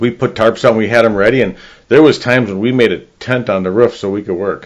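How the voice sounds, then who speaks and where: Talking at a very fast pace, a man at medium pitch keeps his intonation fairly even. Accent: Chicago. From northern Illinois, US Midwest. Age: 60s. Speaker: real estate agent. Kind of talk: casual interview chat.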